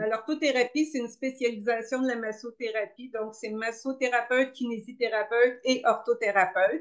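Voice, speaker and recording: Her pitch high, a woman speaks at a moderate pace. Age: 60s. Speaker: orthotherapist and pilates instructor. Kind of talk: interview.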